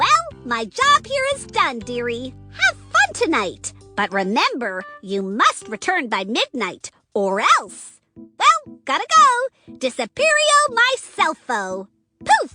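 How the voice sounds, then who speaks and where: A cartoonish character voice that sounds female speaks at a fairly slow pace over faint background music. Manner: cheery, calls people dearie.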